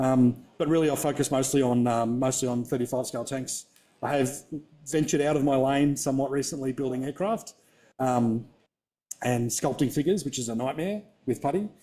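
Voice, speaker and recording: On a very clean recording with a silent background, a man with an Australian accent speaks at medium pitch in a dark, mellow tone, at a fairly quick pace with ordinary pitch variation. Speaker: scale modeller presenter. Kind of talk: workshop presentation. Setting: exhibition hall with live audience, livestreamed. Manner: fast; casual, with many fillers.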